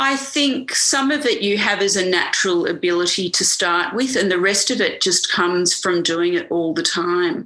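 Over noticeable background noise, a woman with a medium pitch talks at a moderate pace with hardly any pauses. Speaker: doctor specializing in women's health and fertility. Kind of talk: casual interview conversation.

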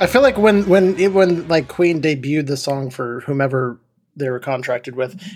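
A normal speaking voice moves at a moderate pace, its pitch varying in an ordinary way. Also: man, fairly high pitch for a man. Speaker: podcast host. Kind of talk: casual banter. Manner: jokey, profane.

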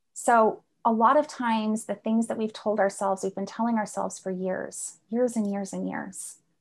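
A woman talks at a moderate pace with hardly any pauses, her pitch fairly high and her intonation fairly even, in a plain, everyday voice. The recording is very clean, with a silent background. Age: 40s. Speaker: life coach. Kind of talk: interview conversation.

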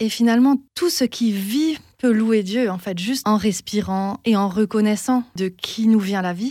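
A woman's fairly high voice with a dark, mellow tone and ordinary pitch variation, on a very clean recording with a silent background. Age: 30s. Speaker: singer-songwriter. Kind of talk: interview.

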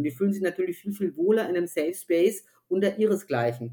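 Speaking very fast with vocal fry, a woman holds a medium pitch. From Germany, Upper Franconia (Bavaria). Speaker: author and gender consultant. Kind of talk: interview conversation. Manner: hesitant with many fillers.

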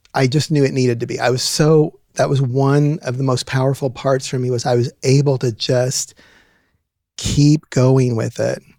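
Speaking fairly slowly with fairly even intonation, a man with an American accent has a medium pitch and a dark, mellow tone in a dry, close sound with no echo. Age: 50s. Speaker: university administrator. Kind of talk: interview. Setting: studio.

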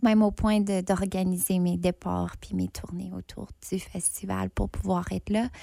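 A woman speaks at a fairly slow pace on a very clean recording with a silent background. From northern Ontario, Franco-Ontarian. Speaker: theatre artist, festival judge. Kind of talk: casual interview.

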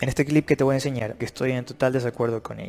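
Pitch moves in an ordinary way. The tone is dark and mellow. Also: man. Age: 30s. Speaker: fitness and nutrition youtuber. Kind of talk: video commentary.

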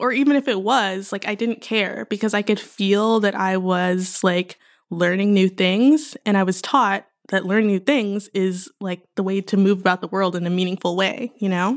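This is an unremarkable speaking voice with an American accent, moderate pace, and ordinary pitch variation, captured in a very clean recording with a silent background. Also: woman, medium pitch for a woman. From Houston, Texas. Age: 20s. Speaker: PhD student in art history. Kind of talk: casual interview.

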